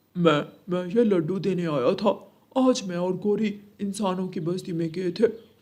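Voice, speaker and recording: In a cartoonish character voice, a man speaks at a high pitch and a moderate pace. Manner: friendly, jokey.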